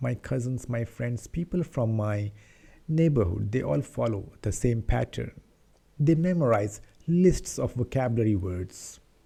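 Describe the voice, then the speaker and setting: A man with an Indian accent speaks at a fairly slow pace in a medium pitch, his dark, mellow, somewhat breathy voice swinging very widely in pitch. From India, Patna, Bihar. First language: Hindi. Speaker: English-speaking YouTuber. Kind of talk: casual talk to camera, personal story.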